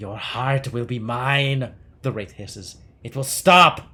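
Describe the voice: A man uses a put-on character voice with a hissing, menacing tone. He speaks at a fairly slow pace and a medium pitch.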